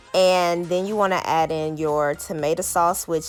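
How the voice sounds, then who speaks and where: A woman speaks in a fairly low voice at a moderate pace. It is a normal speaking voice. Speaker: lifestyle vlogger. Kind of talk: cooking tutorial. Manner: casual, many fillers.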